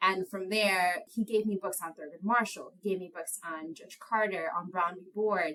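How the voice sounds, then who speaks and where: With an American accent, a woman uses a plain, everyday voice at a medium pitch and moderate pace, her intonation fairly even, her loudness swinging widely, and hardly any pauses between words. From New York City (Inwood, Manhattan). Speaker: lawyer. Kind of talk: podcast interview. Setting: podcast recording.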